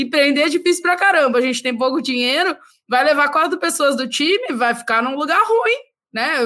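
A woman's raised, projected voice sits at a high pitch, with a bright, sharp tone. She speaks at a fairly quick pace with lively intonation. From southern Brazil (Rio Grande do Sul). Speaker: podcast host. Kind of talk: casual chat.

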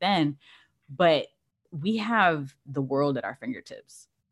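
A fairly low-pitched woman with an American accent and lively intonation, an ordinary speaking voice, on a very clean recording with a silent background. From California. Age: 30s. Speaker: sports bettor and content creator. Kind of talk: casual interview.

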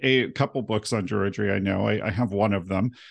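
The man's voice sits at a fairly low pitch with vocal fry. He talks at a fairly quick pace against a quiet background. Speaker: podcast host. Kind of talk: interview conversation.

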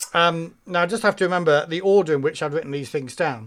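High-pitched male speech with a British accent at a fairly quick pace, in a very clean recording with a silent background. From Britain. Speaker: tabletop RPG podcast co-host. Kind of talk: casual chat.

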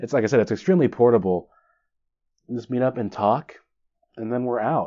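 Moving at a fairly quick pace, the speaker uses an ordinary speaking voice with fairly even intonation. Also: man. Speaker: podcast host. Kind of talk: solo podcast monologue. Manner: self-deprecating, joking.

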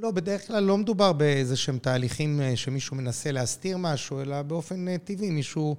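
A man with an ordinary speaking voice, ordinary pitch variation and a moderate pace, on a very clean recording with a silent background. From Israel, Jerusalem. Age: 50s. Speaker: airline CEO. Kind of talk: interview.

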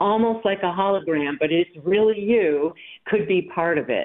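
The speaker has an ordinary speaking voice at a moderate pace. The intonation is lively. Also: woman. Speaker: volunteer. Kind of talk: interview segment.

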